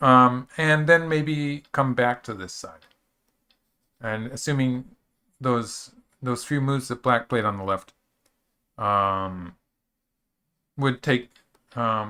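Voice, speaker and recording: A man with a medium-pitched, bright, sharp voice talks at a fairly slow pace, leaving long, frequent pauses. His loudness swings a lot while his pitch varies in an ordinary way, on a very clean recording with a silent background. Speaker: go professional commentator. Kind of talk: live game commentary. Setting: live stream. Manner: slurs words a bit; casual, hesitant with fillers.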